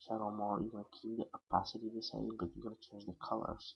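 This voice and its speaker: This man speaks with a non-native accent. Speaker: software tutorial maker. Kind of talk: screen-recorded software tutorial. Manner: hesitant, casual.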